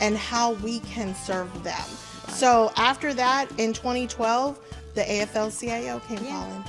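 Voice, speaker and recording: With music playing in the background, a woman in an American accent talks at a fairly slow pace, her fairly high pitch held in fairly even intonation. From Houston, Texas. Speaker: labor organizer and party official. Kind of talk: interview answer.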